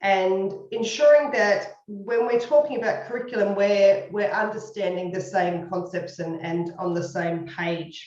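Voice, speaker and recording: In an Australian accent, a woman of medium pitch speaks at a fairly slow pace, with audible room echo. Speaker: university educator, former speech pathologist. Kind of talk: lecture.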